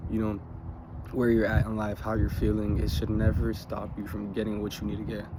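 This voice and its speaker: The room gives off an audible echo. In it, a man talks at a fairly quick pace. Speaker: motivational vlogger. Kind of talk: motivational monologue. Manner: halting.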